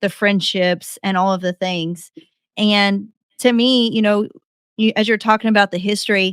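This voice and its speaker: With an ordinary speaking voice, a woman talks at a medium pitch and a fairly slow pace, her intonation fairly even, the sound dry and close with no echo. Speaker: podcast host. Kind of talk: podcast interview, casual conversation.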